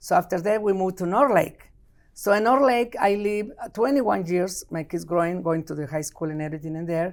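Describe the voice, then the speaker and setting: A woman with a strong Mexican accent speaks at a fairly quick pace and fairly low pitch, with lively intonation. The recording is very clean, with a silent background. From Mexico. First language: Spanish. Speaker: city council member. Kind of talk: interview. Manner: animated.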